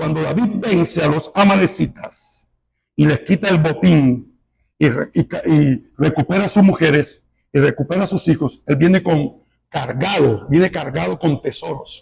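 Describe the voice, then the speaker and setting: A man's voice with vocal fry and lively intonation, at a fairly slow pace. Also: fairly high pitch for a man. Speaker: pastor. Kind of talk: sermon. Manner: animated.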